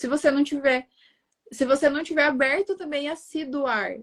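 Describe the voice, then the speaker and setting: A woman with a southern Brazilian accent, high-pitched, at a fairly slow pace, fairly even intonation, and a dry, close sound with no echo. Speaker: digital marketing strategist. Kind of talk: interview conversation.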